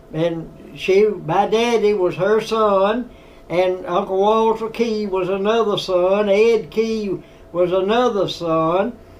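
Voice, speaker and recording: A man talks very slowly in a high pitch with fairly even intonation. There is audible room echo and noticeable background noise. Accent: American. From US South, Tennessee. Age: 90s. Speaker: war veteran. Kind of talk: storytelling interview. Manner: halting.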